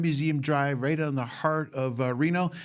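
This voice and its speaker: A man's fairly high voice with a Boston accent. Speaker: museum president and podcast host. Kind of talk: casual podcast interview.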